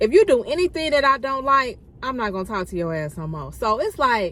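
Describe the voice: A woman's fairly high, fairly bright voice with lively intonation at a fairly quick pace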